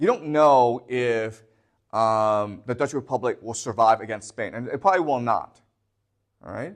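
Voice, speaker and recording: A man talks at a fairly slow pace in a medium pitch, with an unremarkable speaking voice. The background is quiet. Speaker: history teacher. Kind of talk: lecture.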